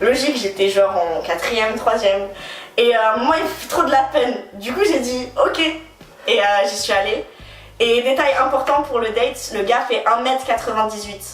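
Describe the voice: A woman's voice, fairly high in pitch with ordinary variation, at a moderate pace, with audible room echo.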